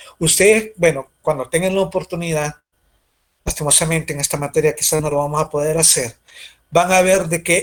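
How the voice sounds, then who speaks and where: This man's voice sits fairly high in pitch with fairly even intonation. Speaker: university lecturer. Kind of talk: lecture. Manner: fast.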